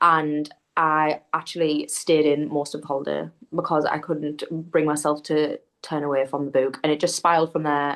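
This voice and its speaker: Against a quiet background, a woman in a strong Geordie accent speaks in a very deep, low pitch with monotone, flat intonation. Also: moderate pace. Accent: thick Geordie. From northeast England (Newcastle area). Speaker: book content creator. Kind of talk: casual chat.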